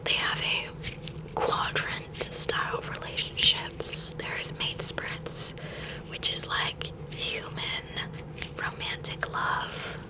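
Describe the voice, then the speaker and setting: Very slow whispering from a woman, noticeable background noise behind it. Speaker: ASMR creator. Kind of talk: ASMR ramble. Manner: whispering, soft.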